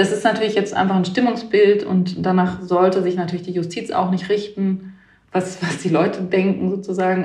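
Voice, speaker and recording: A woman speaks at medium pitch with monotone, flat intonation. Noticeable background noise and audible room echo fill the recording. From Baden-Württemberg, Germany. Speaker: newspaper journalist. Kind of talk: interview.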